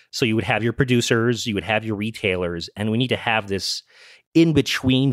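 This man's medium-pitched voice, with ordinary pitch variation, comes through on a very clean recording with a silent background. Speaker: regulatory lawyer. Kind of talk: interview answers.

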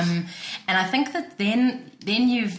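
Over noticeable background noise and audible room echo, a woman talks at a moderate pace with lively intonation. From South Africa, Cape Town. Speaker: researcher on church and social housing. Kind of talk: casual chat. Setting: studio.

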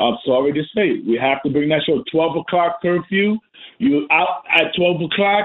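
A high-pitched man with an American accent at a moderate pace. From New York, the Bronx. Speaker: radio caller. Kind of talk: call-in opinion. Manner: halting, repeats words.

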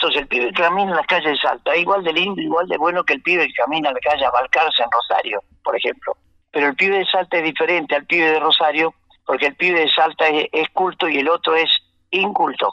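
A man talks at a very fast pace, his loudness staying very even throughout. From Argentina, Santa Fe province. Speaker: folk singer. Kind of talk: radio interview.

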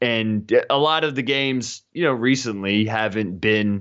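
A man's fairly low pitch shows ordinary pitch variation over a quiet background. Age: 30s. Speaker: sports writer and former podcast host. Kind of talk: casual chat. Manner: animated.

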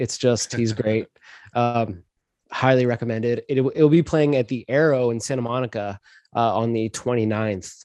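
The man speaks at a moderate pace with fairly even intonation. The sound is dry and close, with no echo. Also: medium pitch for a man. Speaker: co-host. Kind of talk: casual chat. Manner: halting, filler-heavy.

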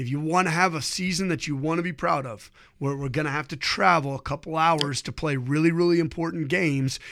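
A man with an American accent speaks at a fairly quick pace in a normal speaking voice, his pitch fairly high for a man with ordinary pitch variation, on a very clean recording over a silent background. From Ohio. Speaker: high school football coach. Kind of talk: interview.

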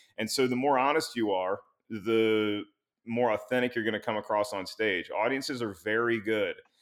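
At a moderate pace, a man with a normal speaking voice and medium pitch keeps his intonation fairly even on a very clean recording with a silent background. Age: 30s. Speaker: stand-up comedian and show host. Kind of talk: interview.

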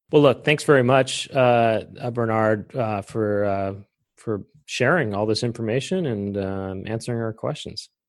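Over a quiet background, a man talks at a fairly slow pace in an ordinary speaking voice, with medium pitch and ordinary pitch variation. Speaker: podcast host. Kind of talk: interview.

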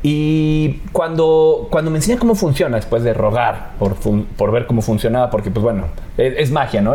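A man talks at a moderate pace and medium pitch, with lively intonation and very even loudness. Noticeable background noise and audible room echo are present. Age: 30s. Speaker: magician. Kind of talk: casual chat.

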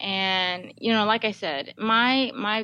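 The background is quiet. A woman speaks with a bright, sharp tone. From Guam. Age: 30s. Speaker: army fitness instructor and personal trainer. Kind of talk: casual interview.

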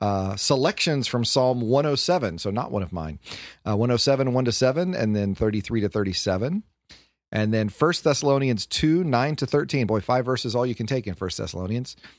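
Lively intonation marks this fairly quick delivery with an American accent. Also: man, medium pitch for a man. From US Midwest, Detroit. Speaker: podcast host discussing scripture readings. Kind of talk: casual chat about bible readings.

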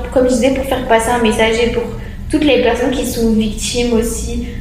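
With noticeable background noise and audible room echo, a woman talks at a fairly quick pace in a high pitch, her intonation monotone and flat. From southern France. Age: 20s. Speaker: dancer and psychosocial worker. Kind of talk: casual chat.

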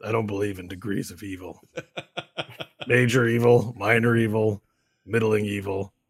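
Putting on a character voice, a man speaks raspy and gravelly at fairly low pitch, with flat, monotone intonation, a moderate pace and long, frequent pauses. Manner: bored.

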